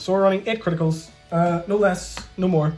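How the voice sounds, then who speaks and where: Music can be heard behind the voice. A man talks, his pitch moving in an ordinary way. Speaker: card game deck reviewer. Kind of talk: casual talk to camera.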